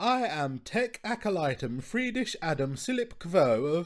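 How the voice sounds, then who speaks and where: A man's put-on character voice, shrill and high-pitched, with very wide pitch swings at a moderate pace, on a very clean recording with a silent background. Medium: read story. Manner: huffy, anxious.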